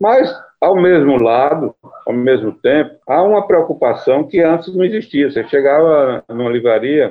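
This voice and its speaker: A man with an ordinary speaking voice, pitched fairly high, talks at a moderate pace with lively intonation. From Brazilian Northeast (Caruaru, Pernambuco; Campina Grande, Paraíba). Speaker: poet and book editor. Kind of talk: interview.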